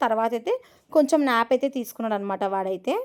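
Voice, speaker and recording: Her pitch moves in an ordinary way. The woman's voice sits high. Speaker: family vlogger. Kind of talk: travel vlog narration. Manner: halting.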